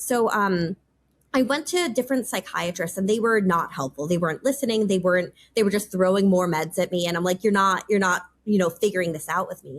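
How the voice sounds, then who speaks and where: Her American accent clear, a woman talks at a fairly quick pace and medium pitch with ordinary pitch variation. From US Northeast, New York. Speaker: policy advisor. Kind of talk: interview. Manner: fast; casual, filler-heavy.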